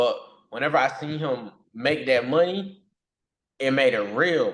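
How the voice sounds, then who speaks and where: At a fairly slow pace, a man speaks in a fairly high pitch with ordinary pitch variation. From US South, North Carolina. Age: 20s. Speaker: young entrepreneur and day trader. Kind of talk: interview. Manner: casual, filler-heavy.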